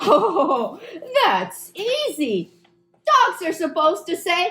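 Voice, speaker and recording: In a cartoonish character voice, the speaker talks at an extremely high pitch and a very slow pace. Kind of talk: children's puppet show.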